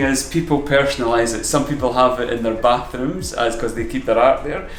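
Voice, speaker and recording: Noticeable background noise and audible room echo surround this recording. A man speaks with an Edinburgh accent at a moderate pace. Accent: Scottish (Edinburgh). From Scotland, Edinburgh. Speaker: painter. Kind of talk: interview.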